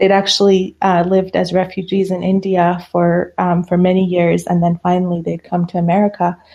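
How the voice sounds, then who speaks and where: A woman's fairly low voice, flat and monotone, at a fairly quick pace with hardly any pauses and very even loudness. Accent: Persian. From Iran. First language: Persian. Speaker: psychiatrist.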